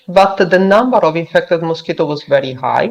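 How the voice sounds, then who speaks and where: A woman speaks with an Italian accent. Her pitch is fairly low. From Italy. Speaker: virologist researcher. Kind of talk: conference presentation. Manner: halting, many fillers.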